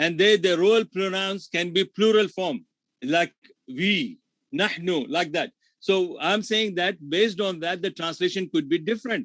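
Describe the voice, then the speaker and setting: Recorded very cleanly against a silent background, a man speaks at a moderate pace in a high pitch with ordinary pitch variation, the sound dry and close with no echo. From India. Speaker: Islamic scholar and debater. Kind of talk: heated debate.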